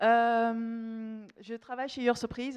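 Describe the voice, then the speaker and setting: A woman with a Dutch accent. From Netherlands. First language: Dutch (speaking French). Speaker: marketing manager. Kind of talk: conference talk. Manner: halting, many fillers.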